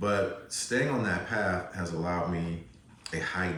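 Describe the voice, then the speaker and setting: The man's pitch is very deep and low, with ordinary variation. Audible room echo and noticeable background noise surround him. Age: 60s. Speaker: holistic wellness practitioner and yoga teacher. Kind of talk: interview.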